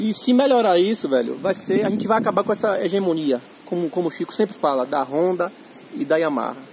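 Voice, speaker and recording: Against noticeable background noise, a man talks at a very fast pace with a high pitch and very wide pitch swings. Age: 30s. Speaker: motorcycle owner reviewing his bike. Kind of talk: casual review chat. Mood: critical, frank. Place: open country. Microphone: phone near.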